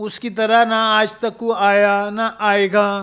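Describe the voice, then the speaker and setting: A high-pitched man's voice with monotone, flat intonation. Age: 50s. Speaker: university professor and speaker. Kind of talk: podcast interview.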